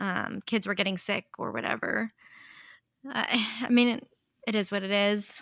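On a very clean recording with a silent background, a woman speaks at medium pitch and a moderate pace, with vocal fry and fairly even intonation. The sound is dry and close with no echo, and she leaves long, frequent pauses. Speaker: high school English teacher.

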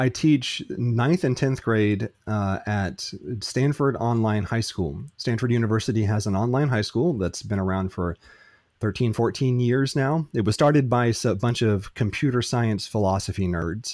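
With an American accent and an unremarkable speaking voice, a man talks at a moderate pace and medium pitch with ordinary pitch variation, in a very clean recording with a silent background. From United States. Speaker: philosophy and logic teacher. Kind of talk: interview.

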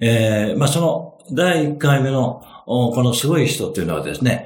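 A fairly high-pitched man at a fairly slow pace, with audible room echo and noticeable background noise. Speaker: finance consultant. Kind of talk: interview storytelling. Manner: many fillers, relaxed pace.

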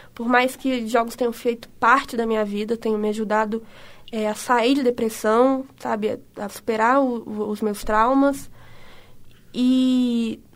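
Her pitch runs fairly high, and this woman has an unremarkable speaking voice with fairly even intonation. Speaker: podcast co-host. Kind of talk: casual chat.

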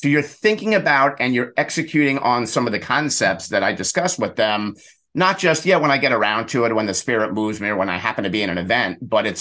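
Against a quiet background, a man speaks very fast at a medium pitch. His tone is bright and sharp, his intonation lively. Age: 50s. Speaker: networking coach and speaker. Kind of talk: interview.

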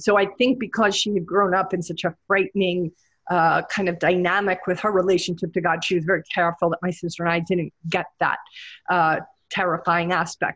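The intonation stays fairly even. Words come at a fairly quick pace. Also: woman, medium pitch for a woman. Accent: American. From New York, Brooklyn. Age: 50s. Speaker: executive coach. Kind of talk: solo podcast talk. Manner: halting, many fillers.

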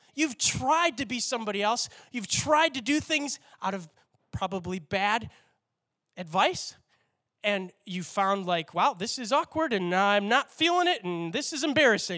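A man's raised, projected voice, high in pitch and bright and sharp, animated with very wide pitch swings at a moderate pace, on a very clean recording with a silent background. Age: 30s. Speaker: pastor. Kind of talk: sermon.

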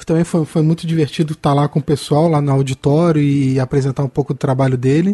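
Somewhat breathy and dark, mellow in tone, a man talks at a fairly quick pace with a fairly high pitch and fairly even intonation. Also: dry, close sound with no echo. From Petrópolis, Rio de Janeiro state, Brazil. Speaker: comics podcast co-host and journalist. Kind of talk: casual chat.

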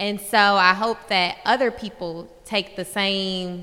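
A woman with an American accent speaks at a very slow pace in a bright, sharp tone, her intonation fairly even. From northern US. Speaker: attorney. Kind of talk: panel discussion.

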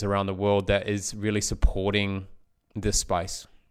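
A man with an Australian accent speaks at a fairly quick pace in a fairly low voice. The recording is very clean, with a silent background. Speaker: podcast host. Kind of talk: interview.

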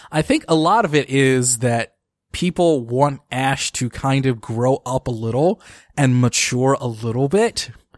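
The recording is very clean, with a silent background and a dry, close sound with no echo. A man speaks at a medium pitch with ordinary pitch variation. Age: 30s. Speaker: podcast host. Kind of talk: casual chat. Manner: halting, many fillers.

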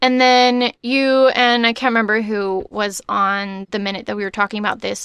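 A woman with a plain, everyday voice and an American accent, at a moderate pace with hardly any pauses, fairly even intonation and a dry, close sound with no echo. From Texas. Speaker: podcast co-host and voiceover artist. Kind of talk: casual chat.

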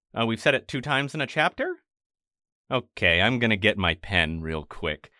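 On a very clean recording with a silent background and a dry, close sound with no echo, a man speaks with lively intonation, vocal fry and a bright, sharp tone. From Maine. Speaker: audio editor, podcast guest. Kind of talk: casual chat, book discussion. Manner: animated, casual, profane.

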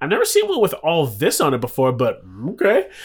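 This man has an American accent. He talks at neither a fast nor a slow speed. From US, Philadelphia and Chicago's South Side. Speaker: interview guest, community media worker. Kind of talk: casual interview chat. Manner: animated.

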